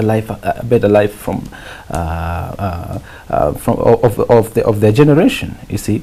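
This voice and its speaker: A man with a Kenyan accent speaks at a moderate pace in a medium pitch, with noticeable noise in the background. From Kenya, Naivasha. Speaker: musician. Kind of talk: interview. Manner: halting.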